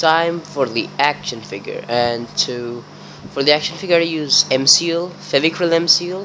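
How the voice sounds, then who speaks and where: Through noticeable background noise, a man speaks at a fairly slow pace. His pitch is fairly high, with ordinary variation. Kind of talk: casual craft tutorial voiceover.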